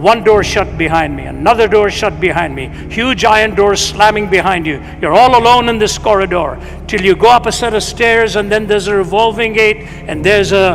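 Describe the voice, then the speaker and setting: With music in the background and audible room echo, a man speaks at a moderate pace in a high pitch. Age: 70s. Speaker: itinerant preacher. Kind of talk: sermon.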